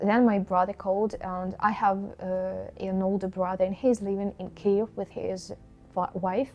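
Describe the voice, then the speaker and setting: Music plays in the background as a woman speaks in a flat, monotone way. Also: medium pitch for a woman, fairly slow pace. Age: 20s. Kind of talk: personal story to camera.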